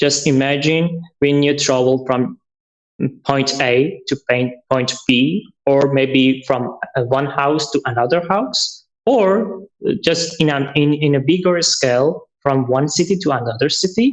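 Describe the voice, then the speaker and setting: A man with a Persian accent speaks at a fairly slow pace in a fairly high pitch, with ordinary pitch variation and very even loudness. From Iran. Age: 30s. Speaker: traveler. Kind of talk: interview. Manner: halting.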